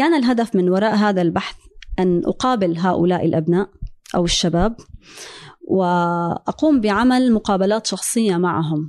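In an ordinary speaking voice, a woman at a medium pitch talks at a fairly slow pace with lively intonation. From Syria. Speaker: energy engineer. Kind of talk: interview conversation.

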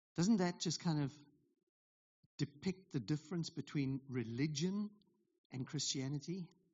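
Somewhat breathy, a man speaks at a fairly slow pace with ordinary pitch variation and long, frequent pauses. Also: fairly high pitch for a man. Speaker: pastor. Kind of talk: sermon.

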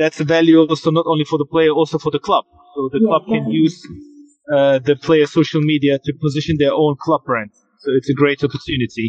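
Fairly high in pitch, a man rattles along at a very fast pace with fairly even intonation. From Germany, Hanover. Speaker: football agent. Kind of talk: interview. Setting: outdoors.

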